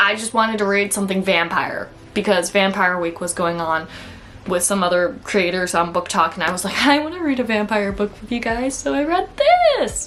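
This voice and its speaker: A woman speaks with lively intonation at a medium pitch. Her pace is moderate, and there is noticeable background noise. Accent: American. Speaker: book vlogger. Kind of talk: casual book review vlog. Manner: chatty, casual with frequent 'like'.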